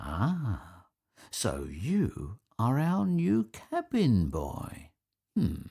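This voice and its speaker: A man's put-on character voice, fairly low in pitch, with very wide pitch swings and a very slow pace. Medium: read story. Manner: friendly, cheerful.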